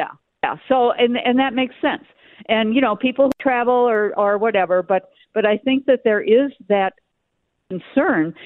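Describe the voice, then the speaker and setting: With an American accent, a woman speaks at a high pitch and moderate pace, her intonation lively and her loudness very even. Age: 70s. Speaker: caller. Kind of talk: casual chat. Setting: phone call.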